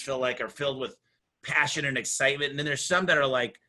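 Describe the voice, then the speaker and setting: Energetic male speech, fairly high in pitch, with a bright, sharp tone over a quiet background. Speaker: home services business owner and author. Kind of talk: podcast conversation. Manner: fast.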